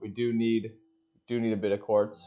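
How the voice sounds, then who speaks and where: With music in the background, a man speaks at medium pitch in a monotone, flat intonation. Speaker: Minecraft gameplay creator. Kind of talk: casual gameplay commentary. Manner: slow, relaxed.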